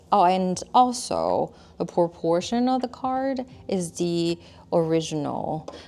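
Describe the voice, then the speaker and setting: Speaking at a very slow pace, a woman with a non-native accent uses a dark, mellow tone of fairly low pitch and lively intonation. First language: not English. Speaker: tarot deck artist. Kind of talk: product review chat. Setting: filmed on camera. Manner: casual, with fillers and restarts.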